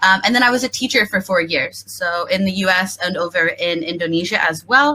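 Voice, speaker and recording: A woman with an American accent and an unremarkable speaking voice, medium in pitch, with ordinary pitch variation and a moderate pace. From US Midwest, Kansas City, Missouri. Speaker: graduate student. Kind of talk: panel Q&A.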